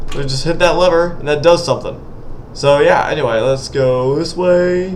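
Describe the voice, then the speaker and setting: A man's fairly quick speech, with audible room echo and noticeable background noise. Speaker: indie game developer and gaming youtuber. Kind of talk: gameplay commentary. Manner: fast; animated.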